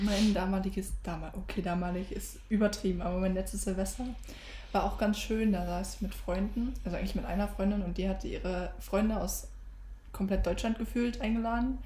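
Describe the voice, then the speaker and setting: Someone talks at a fairly quick pace over noticeable background noise, with audible echo from the room. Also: woman. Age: young. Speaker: podcast co-host, retail apprentice. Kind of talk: casual chat.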